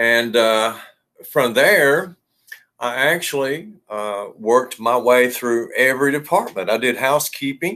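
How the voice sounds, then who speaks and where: With a bright, sharp tone, a man speaks at a medium pitch. His pace is very slow, with ordinary pitch variation. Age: 50s. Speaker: hotel general manager. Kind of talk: interview.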